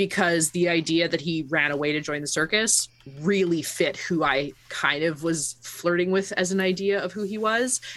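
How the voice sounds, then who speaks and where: Fairly low-pitched woman at a moderate pace with ordinary pitch variation, in a very clean recording over a silent background. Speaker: tabletop game player. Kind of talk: casual chat about a tabletop roleplaying game.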